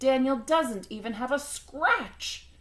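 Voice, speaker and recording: A put-on character voice growls along at a fairly slow pace. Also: female-sounding voice, high pitch for a woman. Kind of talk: bedtime story. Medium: read story.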